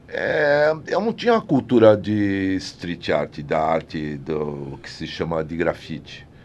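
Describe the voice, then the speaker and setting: Against noticeable background noise, a man speaks at a very slow pace with hardly any pauses and big swings in loudness. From São Paulo, Brazil (Brás/Mooca). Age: 70s. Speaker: set designer and artist. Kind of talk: interview conversation. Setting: studio. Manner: halting, with many restarts.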